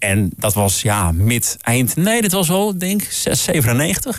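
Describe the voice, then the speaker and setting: A man's voice swings very widely in pitch. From Groningen, northern Netherlands. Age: 40s. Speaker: jingle producer. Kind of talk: casual chat.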